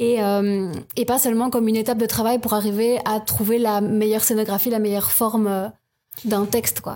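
With a dark, mellow tone and fairly high pitch, a woman speaks at a moderate pace and very even loudness. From Belgium, province of Luxembourg. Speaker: improviser. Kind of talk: casual interview.

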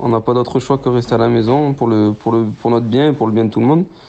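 This man talks at a very fast pace in a medium pitch, his intonation fairly even, with noticeable background noise around him. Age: 20s. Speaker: professional footballer. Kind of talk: phone interview. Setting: phone call. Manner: halting.

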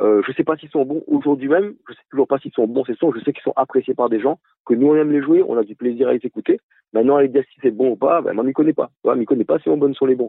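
A man's very fast speech, fairly high in pitch, with ordinary pitch variation. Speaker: musician, band founder. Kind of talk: radio interview. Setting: phone call.

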